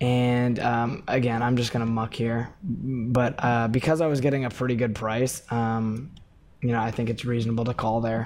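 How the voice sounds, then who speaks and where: Quiet speech from a man at medium pitch and moderate pace. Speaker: poker coach and player. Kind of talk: live gameplay commentary. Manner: casual, many filler words.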